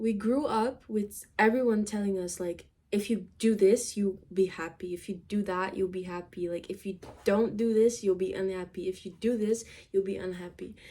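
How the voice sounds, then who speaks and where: Speaking at a moderate pace with a non-native accent, a woman has a medium-pitched voice, a dark, mellow tone and fairly even intonation. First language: not English. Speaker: vlogger. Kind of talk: casual chat. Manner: halting.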